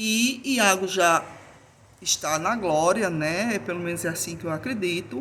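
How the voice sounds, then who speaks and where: With an Alagoas accent, a woman speaks at a fairly slow pace using lively intonation. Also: medium pitch for a woman. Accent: Alagoas (northeastern Brazilian). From Brazil, Alagoas (Northeast). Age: 50s. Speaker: YouTuber sharing personal grief story. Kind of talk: personal talk to camera, faith reflection. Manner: hesitant repetitions.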